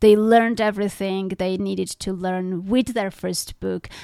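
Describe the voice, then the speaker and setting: Medium in pitch, a woman speaks at a moderate pace with a non-native accent and fairly even intonation. The recording is very clean, with a silent background. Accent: foreign-accented English. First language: not English. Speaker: podcast host and author. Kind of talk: interview.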